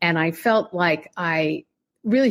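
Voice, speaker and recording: In an American accent, a woman talks with lively intonation and a fairly low pitch, using a plain, everyday voice. The recording is very clean, with a silent background. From Pennsylvania, US. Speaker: poet and travel writer. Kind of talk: interview.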